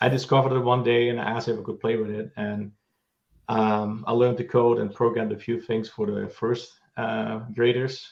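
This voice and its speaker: Speaking at a fairly quick pace with a Dutch accent, a man keeps a monotone, flat intonation at a medium pitch. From Netherlands. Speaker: tech co-founder and CTO. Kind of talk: panel discussion.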